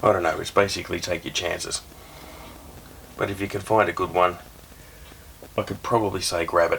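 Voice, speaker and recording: A man's fairly quick speech broken by long, frequent pauses, over noticeable background noise. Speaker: camera reviewer, YouTuber. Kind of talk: casual product review. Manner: quiet, soft-spoken; casual, hesitant with fillers.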